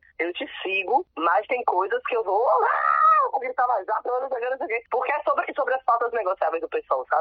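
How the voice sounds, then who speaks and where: Speaking at a very fast pace, a woman uses a high pitch with very wide swings up and down. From Salvador, Bahia, Brazil. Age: 30s. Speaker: lawyer and city councillor. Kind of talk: interview. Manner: casual, animated.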